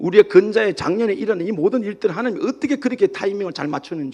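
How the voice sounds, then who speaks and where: The speaker talks at a very fast pace with a Gyeongsang accent. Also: man. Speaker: pastor. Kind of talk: sermon. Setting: church.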